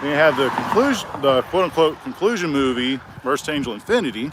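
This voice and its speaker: Lively intonation from a man with a fairly high pitch, amid noticeable background noise. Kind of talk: casual talk to camera while walking. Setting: outdoors. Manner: halting, with stutters and pauses.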